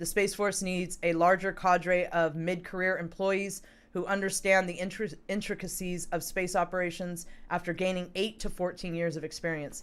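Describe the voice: Using a put-on character voice, a woman speaks hoarsely at a medium pitch, flat and monotone, at a moderate pace.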